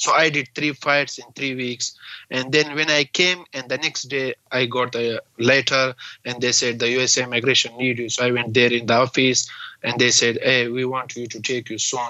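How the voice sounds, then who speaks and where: A man with a Pakistani accent speaks at a moderate pace and a medium pitch, his intonation flat and monotone. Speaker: refugee and bare-knuckle fighter. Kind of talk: interview. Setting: video call from US. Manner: halting, broken English.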